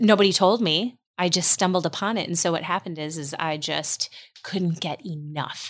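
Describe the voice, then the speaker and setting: In an American accent, a woman with an ordinary speaking voice talks at a moderate pace and fairly low pitch with ordinary pitch variation, in a very clean recording with a silent background. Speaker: homeschooling mother. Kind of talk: casual chat.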